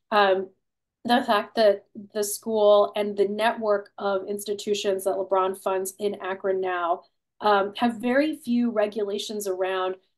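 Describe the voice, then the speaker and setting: Over a quiet background, a woman speaks with an American accent at a moderate pace. Her pitch is medium and her intonation fairly even. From Ohio (Cleveland); Ohio. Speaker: author and political philosopher; guest. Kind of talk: webinar conversation. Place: home room. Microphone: video call.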